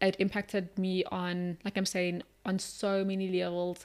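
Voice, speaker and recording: A woman's medium-pitched voice at a moderate pace. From South Africa, Polokwane and Cape Town. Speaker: agency founder and magazine publisher. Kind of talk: interview.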